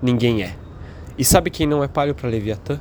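With an interior São Paulo accent, a man talks at a medium pitch with lively intonation. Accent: caipira-style retroflex R. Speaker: podcast host. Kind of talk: solo monologue podcast. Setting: home apartment, partly on balcony.

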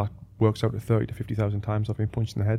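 Very fast and somewhat breathy, the man's dark, mellow voice stays fairly low in a monotone, flat intonation. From northeast England. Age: 30s. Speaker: boxing coach and former Olympic boxer. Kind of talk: casual interview chat. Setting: studio.

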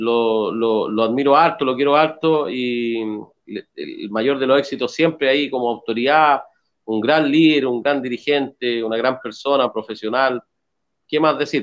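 Fairly even in intonation, a man talks at a medium pitch in an unremarkable speaking voice. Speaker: regional party president. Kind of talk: casual chat.

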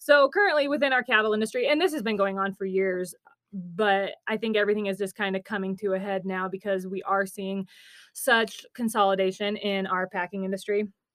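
A woman with a medium pitch has an ordinary speaking voice. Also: ordinary pitch variation, fairly quick pace. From Nebraska. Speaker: rancher and agriculture reporter. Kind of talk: podcast interview.

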